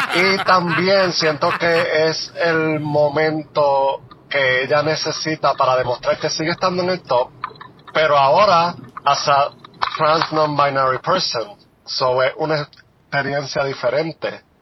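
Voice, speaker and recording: Noticeable background noise sits behind a man who speaks very slowly at a fairly high pitch, with fairly even intonation and very even loudness. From Puerto Rico, Juana Díaz. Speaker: listener leaving voicemail. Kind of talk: voicemail message. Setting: phone voicemail.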